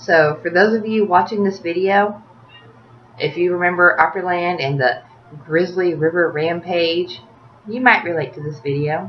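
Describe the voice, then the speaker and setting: A woman with a Tennessee accent talks at a moderate pace in a fairly low pitch with ordinary pitch variation over noticeable background noise. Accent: Southern US (Tennessee). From US South, Tennessee (Smyrna, near Nashville). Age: 30s. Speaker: video blogger. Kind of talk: casual rant to camera.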